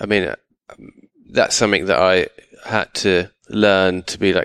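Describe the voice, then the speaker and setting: With a southern English accent, a man talks at a moderate pace and a fairly low pitch. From England, outside London. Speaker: artist. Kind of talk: interview. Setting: artist's studio.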